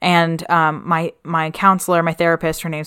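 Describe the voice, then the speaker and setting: A woman with a fairly low pitch and a bright, sharp tone speaks at a moderate pace, the sound dry and close with no echo. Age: 20s. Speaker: podcast co-host, musical theater performer. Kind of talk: casual chat. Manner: animated.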